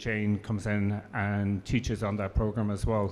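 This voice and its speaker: A man speaks with an Irish accent. His pace is moderate. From Ireland. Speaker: professor. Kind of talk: panel discussion.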